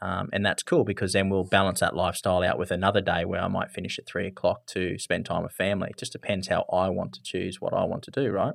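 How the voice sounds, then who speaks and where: Talking at a very fast pace, a man with an Australian accent uses a fairly low pitch. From rural Australia. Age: 30s. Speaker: business marketing strategist. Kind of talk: interview.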